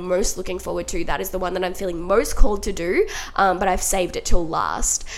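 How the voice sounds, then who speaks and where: A woman with an Australian accent talks at a very fast pace. Her tone is upbeat and animated. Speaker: podcast host. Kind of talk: solo podcast monologue, casual self-help talk. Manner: chatty, upbeat, animated.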